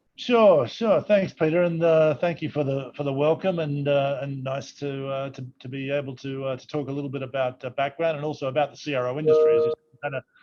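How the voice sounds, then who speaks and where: A man with an Australian accent speaks fairly quickly in a fairly high voice, with hardly any pauses. His intonation is fairly even, but his loudness swings a lot. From Australia, Sydney. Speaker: company CEO. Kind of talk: virtual fireside chat interview. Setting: video call from office. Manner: halting, repeats words.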